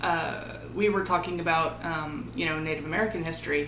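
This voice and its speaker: Over noticeable background noise and audible room echo, a woman with a fairly low pitch talks at a moderate pace with fairly even intonation. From Texas. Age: 30s. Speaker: podcast co-host. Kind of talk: casual chat.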